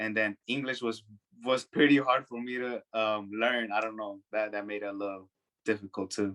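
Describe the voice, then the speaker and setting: A man with a Spanish accent speaks at a fairly low pitch in a bright, sharp tone with fairly even intonation, and the sound is dry and close with no echo. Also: moderate pace. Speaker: young documentary filmmaker. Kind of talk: panel discussion. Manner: halting, with many fillers.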